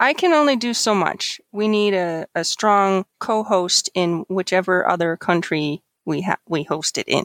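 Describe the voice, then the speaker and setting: A woman with a normal speaking voice and an American accent talks at a medium pitch with lively intonation. She leaves hardly any pauses, and the recording is very clean with a silent background. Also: dry, close sound with no echo. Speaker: organizer of international exchange program.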